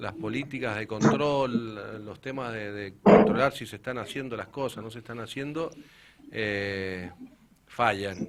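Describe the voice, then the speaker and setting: Speaking at a very slow pace with an Argentine accent, the voice shows ordinary pitch variation amid noticeable background noise. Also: man. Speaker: municipal sports director. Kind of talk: radio interview.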